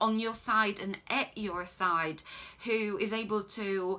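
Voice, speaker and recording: With noticeable background noise behind her, a woman talks in a fairly high voice whose pitch varies in an ordinary way. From Poland. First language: Polish. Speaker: life coach. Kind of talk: Q&A answers to viewers. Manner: hesitant, many filler ums.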